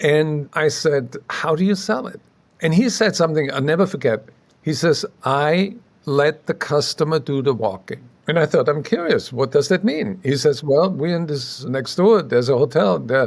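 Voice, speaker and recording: A man talks at a moderate pace in a fairly high pitch. His intonation is lively. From Austria (Salzburg). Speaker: sales magazine founder. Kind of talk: podcast interview.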